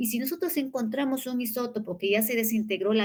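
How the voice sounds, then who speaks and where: Her voice sits at a fairly high pitch. The woman uses ordinary pitch variation. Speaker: university lecturer. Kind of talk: lecture. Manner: fast.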